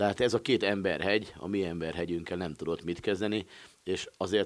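Using ordinary pitch variation, a man with a very deep, low pitch speaks at a moderate pace. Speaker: sports journalist. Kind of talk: casual sports discussion.

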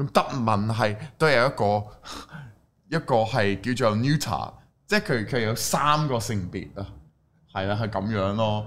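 A fairly slow delivery with a non-native accent, ordinary pitch variation and long, frequent pauses. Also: man, medium pitch for a man. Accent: foreign accent in Cantonese. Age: young. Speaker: Cantonese-speaking foreign YouTuber. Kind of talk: casual chat.

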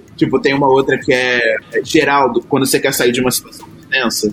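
A man speaks fairly quickly, and noticeable background noise is present. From Rio de Janeiro, Baixada Fluminense (Caxias). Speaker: podcast panelist. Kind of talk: casual chat.

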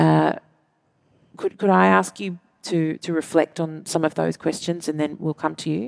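A woman with an Australian accent at a moderate pace, long frequent pauses, and a dry, close sound with no echo. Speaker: author and arts advocate, panel moderator. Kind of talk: panel discussion.

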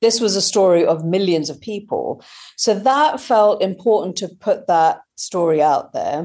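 A woman's dark, mellow voice in a British accent, medium in pitch with lively intonation. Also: fairly slow pace. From Britain, British Indian family. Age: 40s. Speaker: author and science journalist. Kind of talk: interview. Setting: at home.

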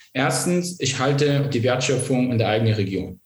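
This man has a fairly high pitch and a somewhat breathy voice. He talks at a moderate pace. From eastern Germany (Vogtland, Saxony), born in Iraq. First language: not German (Iraq) (speaking German). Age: young. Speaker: politician, civil engineer. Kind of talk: interview.

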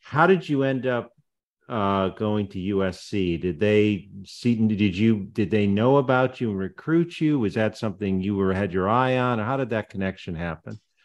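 Here a man with an ordinary speaking voice talks at a moderate pace. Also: fairly low pitch for a man, ordinary pitch variation. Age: 60s. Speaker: podcast host. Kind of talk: interview.

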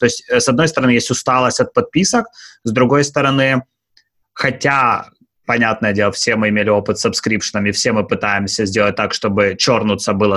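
In an ordinary speaking voice, a man with medium pitch moves along at a fairly quick pace, varying his pitch in an ordinary way. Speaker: podcast co-host. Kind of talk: podcast interview.

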